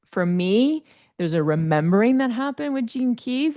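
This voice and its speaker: A woman with a French Canadian accent talks at a fairly quick pace. Her pitch swings very widely. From Quebec, Canada. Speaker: life coach and speaker. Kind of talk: interview chat.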